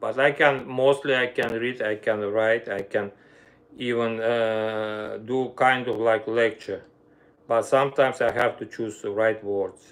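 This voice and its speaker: A fairly slow pace with an Armenian accent. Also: man. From Armenia (Soviet Union). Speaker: violinist and music teacher. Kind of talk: casual livestream chat. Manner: halting, non-native phrasing.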